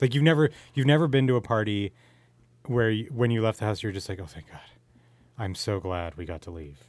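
A man with a Canadian accent talks at a fairly quick pace and a fairly low pitch, with lively intonation and big swings in loudness. His pauses are long and frequent, and the background is quiet. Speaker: podcast host. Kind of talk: casual chat. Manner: animated.

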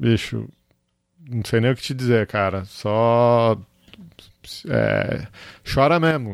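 Very slow speech from a man at a medium pitch, with long, frequent pauses and ordinary pitch variation, in a very clean recording with a silent background. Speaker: podcast host. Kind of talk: casual chat.

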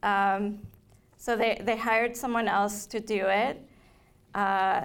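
Fairly slow, flat, monotone speech from a woman at a medium pitch. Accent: Spanish. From Colombia, Bogota. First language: Spanish. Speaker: novelist. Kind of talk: author talk. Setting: library event with audience.

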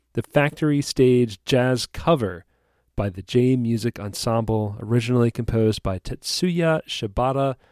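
The voice is an unremarkable speaking voice, with ordinary pitch variation and a moderate pace. The sound is dry and close, with no echo. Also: man, medium pitch for a man. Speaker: podcast host. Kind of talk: casual chat.

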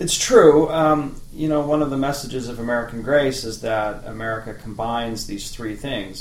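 A man at a medium pitch speaks at a moderate pace with audible room echo. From Canada, Medicine Hat, Alberta. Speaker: political science professor. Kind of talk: interview.

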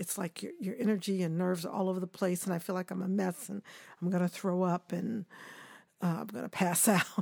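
A woman with an American accent has an ordinary speaking voice. She speaks at a moderate pace in a dry, close sound with no echo. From Kansas City, Missouri. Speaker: choreographer. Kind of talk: interview.

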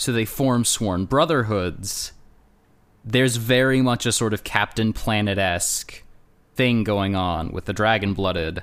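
Recorded very cleanly against a silent background, a man with an ordinary speaking voice talks at a fairly slow pace in a fairly low pitch with ordinary pitch variation. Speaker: guest podcaster and game player. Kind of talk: casual chat with banter.

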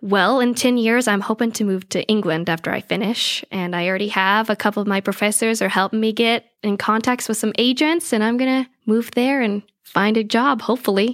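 A woman with an American accent talks at a fairly quick pace with hardly any pauses and ordinary pitch variation in an unremarkable speaking voice, the sound dry and close with no echo on a very clean recording with a silent background. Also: fairly high pitch for a woman. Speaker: theater performer and coach. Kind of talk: casual interview chat.

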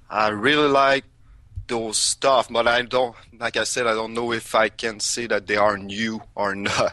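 Fairly slow and fairly even in intonation, a man with a Quebec accent speaks at a medium pitch in a bright, sharp tone. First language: French. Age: 30s. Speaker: music podcaster and industrial worker. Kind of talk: interview. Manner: halting.

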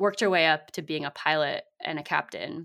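On a very clean recording with a silent background, a woman with a Californian accent talks at a moderate pace in a bright, sharp tone, her fairly low pitch held in a monotone, flat intonation. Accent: Californian American. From US West Coast (San Francisco Bay Area, South Bay). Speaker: community building consultant and author. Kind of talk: interview.

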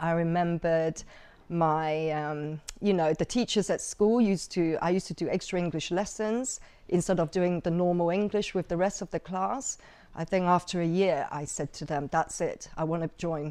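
With a dark, mellow tone and a fairly low pitch, a woman speaks at a moderate pace with fairly even intonation. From Hong Kong and Macau. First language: Chinese. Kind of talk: casual interview sharing life story.

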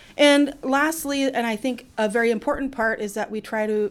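At a fairly quick pace, a woman talks in a plain, everyday voice with ordinary pitch variation. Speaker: kindergarten teacher. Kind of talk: interview answers.

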